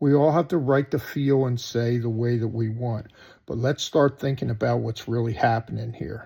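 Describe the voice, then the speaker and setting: This man talks with a somewhat breathy voice. He has an American accent and a medium pitch. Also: moderate pace. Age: 60s. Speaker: political commentator vlogger. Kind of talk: opinion monologue. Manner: animated.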